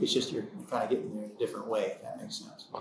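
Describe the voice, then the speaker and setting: Talking at a very fast pace, a man speaks with an American accent. Noticeable background noise and audible room echo fill the recording. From United States. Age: 60s. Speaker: podcast co-host, business owner. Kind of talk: casual podcast conversation.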